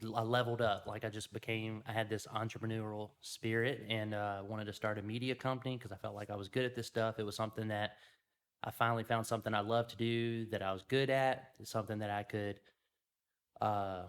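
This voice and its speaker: The recording is very clean with a silent background. A man with a Louisiana accent speaks at a fairly quick pace and medium pitch in a monotone, flat intonation. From Louisiana, US South. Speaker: media company owner. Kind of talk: casual interview.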